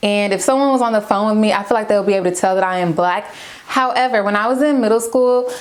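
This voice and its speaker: Over noticeable background noise, a woman talks very fast at a fairly high pitch with ordinary pitch variation. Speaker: beauty and lifestyle vlogger. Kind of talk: casual vlog chat. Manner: chatty.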